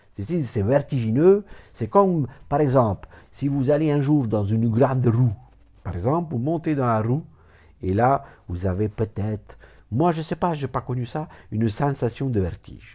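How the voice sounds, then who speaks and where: A dark, mellow, somewhat breathy voice with lively intonation, a fairly slow pace and long, frequent pauses. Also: man, medium pitch for a man. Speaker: therapist. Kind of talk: informal lecture. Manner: rambling, repetitive, digressive.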